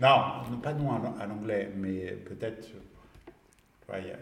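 There is audible room echo and noticeable background noise as a man speaks very slowly at a medium pitch with ordinary pitch variation. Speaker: social media consultant. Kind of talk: casual chat. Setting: studio. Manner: halting.

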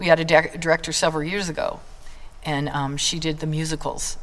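A woman with an American accent talks at a fairly quick pace. Her very deep, low voice stays monotone and flat. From Idaho, US. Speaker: drama teacher and community theater leader. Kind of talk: casual interview.

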